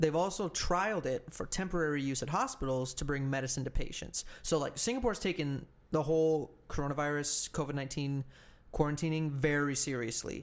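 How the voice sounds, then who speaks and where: In a very clean recording with a silent background, a man talks in a normal speaking voice at a fairly high pitch. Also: ordinary pitch variation. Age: 20s. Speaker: podcast co-host. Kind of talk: casual chat.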